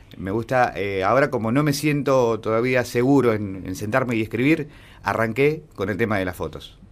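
A man speaks with an Argentine accent. His pitch is medium and his pace moderate. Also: ordinary pitch variation. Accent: Argentine Spanish (Rioplatense). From Argentina. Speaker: student and local history page creator. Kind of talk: radio interview. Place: studio.

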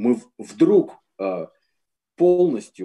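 A man's dark, mellow tone makes very wide pitch swings over a quiet background. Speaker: composer. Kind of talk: online panel discussion. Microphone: video call.

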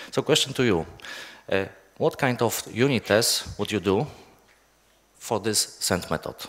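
At a fairly slow pace, a man speaks with a Polish accent. His intonation is lively. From Poland. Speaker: software developer. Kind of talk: conference talk. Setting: stage with audience. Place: hall.

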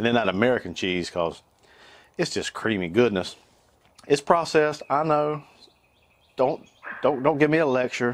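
Speaking in a North Carolina accent at a moderate pace, a man uses a medium pitch that swings very widely. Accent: Southern US (North Carolina). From US South, North Carolina. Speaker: cooking YouTuber. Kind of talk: cooking tutorial. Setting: outdoors on back porch. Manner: animated. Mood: upbeat, jokey. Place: garden.

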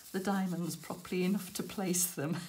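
A woman talks with a British accent. Light background noise can be heard. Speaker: crafting YouTuber. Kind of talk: casual chat. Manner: casual, hesitant with fillers.

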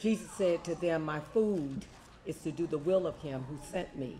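Light background noise behind a man's moderate pace. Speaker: prayer leader and scripture reader; scripture reader. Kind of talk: prayer and scripture reading. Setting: church meeting. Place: home room. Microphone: handheld.

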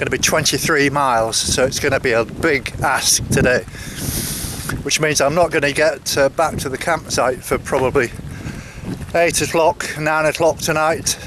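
A man's fairly bright voice, fairly high in pitch with fairly even intonation, sits over faint background noise.

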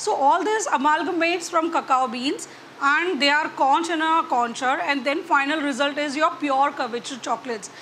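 With light background noise, a woman uses a raised, projected voice at a moderate pace and ordinary pitch variation. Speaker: chocolatier instructor. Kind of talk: tutorial. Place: hall. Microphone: lapel.

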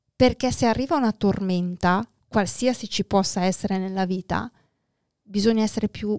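Her voice is a woman's at a medium pitch. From northern Italy, near Milan (Lombardy). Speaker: entrepreneur, real estate investor and NLP practitioner. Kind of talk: casual interview.

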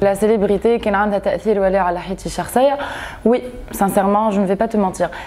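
At a fairly slow pace, a woman speaks at a medium pitch with fairly even intonation and very even loudness. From Tunisia. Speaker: actress. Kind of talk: interview. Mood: calm, personal, reflective.

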